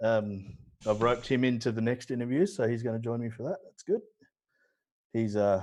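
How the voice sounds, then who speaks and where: Speaking with an Australian accent at a medium pitch, a man shows ordinary pitch variation. His loudness swings widely, and his pauses are long and frequent. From Australia (Newcastle, NSW). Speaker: watercolor painter. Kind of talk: casual chat during live painting demo. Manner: slow.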